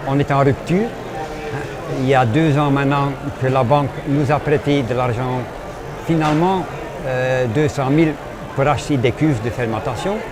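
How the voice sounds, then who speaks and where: With audible room echo and noticeable background noise, a man with a fairly high pitch and ordinary pitch variation talks at a fairly slow pace, leaving long, frequent pauses. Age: 70s. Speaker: craft brewer. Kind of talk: radio interview. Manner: halting.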